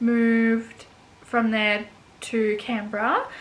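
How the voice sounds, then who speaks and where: Fairly high female voice with audible room echo and noticeable background noise. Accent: Australian. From Australia, Gold Coast, Queensland. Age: 20s. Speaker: vlogger. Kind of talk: casual chat. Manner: hesitant, many fillers.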